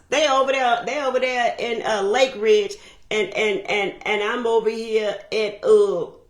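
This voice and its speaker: With noticeable noise behind her, a woman talks at a fairly high pitch with lively intonation. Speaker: motivational speaker on relationships. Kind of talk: motivational talk. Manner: loud.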